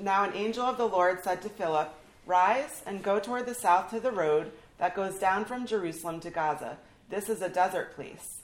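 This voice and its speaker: A woman with a plain, everyday voice talks at a moderate pace, her pitch varying in an ordinary way. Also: medium pitch for a woman. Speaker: pastor. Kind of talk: reading aloud.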